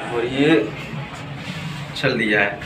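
Clear music plays in the background as a man speaks at a slow pace. His voice has a medium pitch and ordinary pitch variation.

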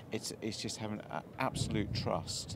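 With noticeable background noise, a man talks at a moderate pace in a dry sound with no echo. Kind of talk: interview answer. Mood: reflective, pleased. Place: waterside.

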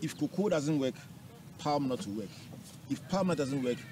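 A man at a moderate pace with lively intonation, dry sound without echo, and noticeable background noise. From Ghana. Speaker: TV and radio talk show host; radio talk show host. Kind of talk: interview. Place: open country. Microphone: lapel.

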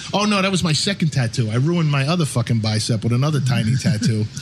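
A man talks at a very fast pace with an American accent. Noticeable background noise runs behind him. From Long Island, New York. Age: 40s. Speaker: podcast host, tattoo artist. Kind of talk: casual interview.

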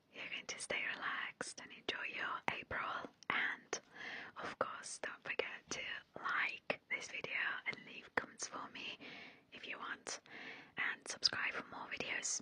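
A soft-spoken woman whispering at a fairly slow pace, with long, frequent pauses, big swings in loudness, light background noise and a dry sound with no echo. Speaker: ASMR creator. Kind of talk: casual vlog chat. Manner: soft close-mic ASMR whisper. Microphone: studio mic.

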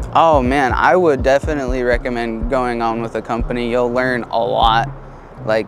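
Music plays in the background behind a man. He talks at a moderate pace with fairly even intonation. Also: dry sound with no echo. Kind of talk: interview answer. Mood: relaxed, occasional laughs. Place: street. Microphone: lapel.

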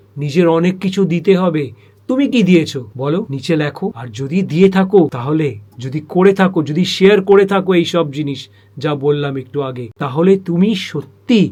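A man speaks with a dark, mellow tone, a high pitch, and lively intonation. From born in Agra, Bengali family. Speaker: spiritual vlogger. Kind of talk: monologue vlog. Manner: impassioned.

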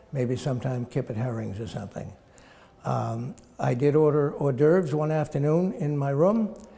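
This man has a fairly high pitch and a dark, mellow tone, sounding somewhat breathy as he talks at a moderate pace with lively intonation. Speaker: physician, former ship's surgeon. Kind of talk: interview answer, personal reminiscence. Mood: amused, fond reminiscing.

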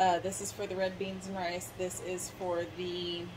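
A woman's voice comes through over light background noise. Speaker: home cooking vlogger. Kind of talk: casual vlog chat. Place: kitchen. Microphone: phone near.

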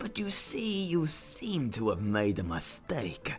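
A put-on character voice moves at a very slow pace. Faint music plays in the background. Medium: dub. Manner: mock-polite, sarcastic.

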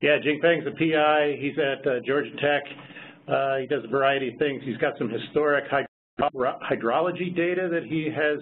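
With light background noise behind him, a man speaks at a moderate pace in a normal speaking voice, fairly high-pitched and fairly even in intonation. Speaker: principal investigator of a research observatory. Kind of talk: online project meeting. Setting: video call. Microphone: video call.

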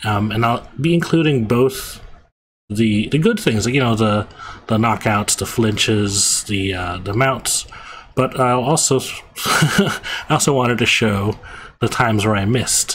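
This man speaks at a slow pace, with a fairly low pitch and a fairly bright tone. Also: ordinary pitch variation.

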